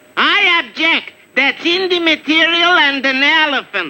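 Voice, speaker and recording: Using a cartoonish character voice, a man speaks at an extremely high pitch. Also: moderate pace. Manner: blustering, officious.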